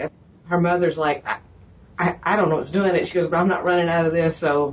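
The speaker is a woman. Background noise can be clearly noticed. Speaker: health practice co-worker. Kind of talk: casual interview.

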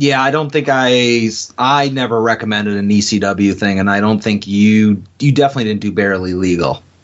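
A plain, everyday voice from a man, pitched fairly low, with ordinary pitch variation and a moderate pace. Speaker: wrestling podcast co-host. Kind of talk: casual chat. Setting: studio.

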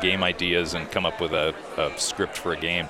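Amid noticeable background noise, a man with an American accent speaks at a moderate pace. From Rhodesia (southern Africa) and Indiana, US. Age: 50s. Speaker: racing simulation software developer. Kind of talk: casual chat. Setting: restaurant dinner.

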